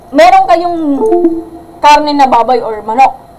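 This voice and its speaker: A loud woman at a fairly slow pace, ordinary pitch variation, noticeable background noise. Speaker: math teacher. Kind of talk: livestream lesson. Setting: livestream.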